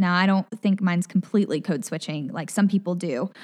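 A woman at a very fast pace, medium in pitch with ordinary variation, dry and close with no echo over a quiet background. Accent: American. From Memphis area, Tennessee. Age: 20s. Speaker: news reporter. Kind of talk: casual interview conversation.

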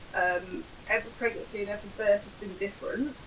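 A woman's voice at a moderate pace against noticeable background noise. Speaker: podcast co-host and mother.

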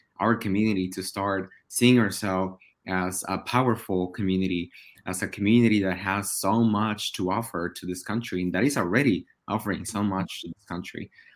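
On a very clean recording with a silent background, a man with a Spanish accent speaks at a moderate pace, his fairly low pitch kept to fairly even intonation. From Oaxaca, Mexico. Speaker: podcast co-host, attorney. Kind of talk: casual podcast conversation.

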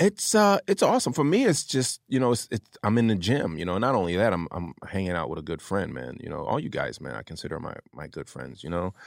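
A man with a fairly low pitch and vocal fry talks at a fairly quick pace, with very wide pitch swings and big swings in loudness. The sound is dry and close with no echo, in a very clean recording with a silent background. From New Jersey, Atlantic City. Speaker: stand-up comedian. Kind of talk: casual chat.

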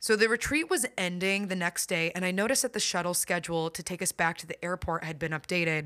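A woman with a bright, sharp tone and fairly low pitch speaks at a moderate pace with ordinary pitch variation, the sound dry and close with no echo on a very clean recording with a silent background. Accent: American. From US Midwest. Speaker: podcast host and life coach. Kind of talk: solo podcast monologue.

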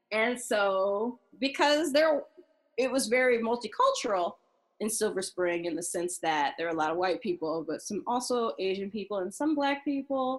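A woman with a General American accent speaks at a moderate pace in a fairly high pitch, her voice making very wide pitch swings. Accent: non-regional general American. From Maryland, US. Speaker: guest, music industry professional. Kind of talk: casual interview chat.

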